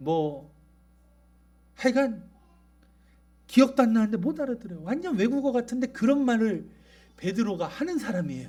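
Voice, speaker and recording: A man with an extremely high pitch, very wide pitch swings and a dark, mellow tone, at a moderate pace, with long, frequent pauses. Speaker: pastor. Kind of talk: sermon. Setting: church.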